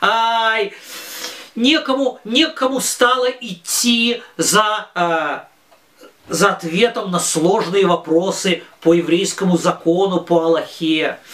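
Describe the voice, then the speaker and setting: A man's high-pitched voice at a very slow pace, lively in intonation and very even in loudness, over noticeable background noise. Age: 40s. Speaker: religious teacher for children. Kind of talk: lesson. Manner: halting, with many filler sounds.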